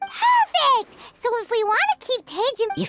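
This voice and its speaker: In a put-on character voice that is squeaky and extremely high, someone speaks at a moderate pace with music in the background. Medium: video game. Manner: casual, conversational.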